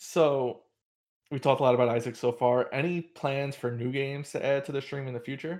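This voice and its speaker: A man with a normal speaking voice talks at a fairly quick pace and fairly high pitch. His intonation is fairly even, on a very clean recording with a silent background. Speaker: podcast host. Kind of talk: casual interview.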